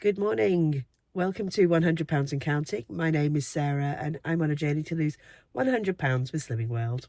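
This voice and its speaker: A woman with a very deep, low pitch speaks at a fairly quick pace. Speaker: weight loss vlogger. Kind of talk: casual vlog. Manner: hesitant with fillers.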